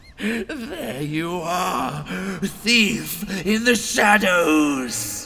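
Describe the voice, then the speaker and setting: A man's put-on character voice at a high pitch and a very slow pace, over clear background noise. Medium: voice reel. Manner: slow, menacing.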